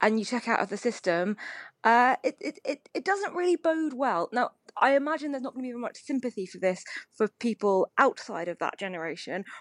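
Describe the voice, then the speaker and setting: A woman with a British accent talks at a fairly quick pace in a high voice, with very wide pitch swings, big swings in loudness and a dry, close sound with no echo. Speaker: newspaper columnist. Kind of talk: casual panel discussion. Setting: phone recording at home.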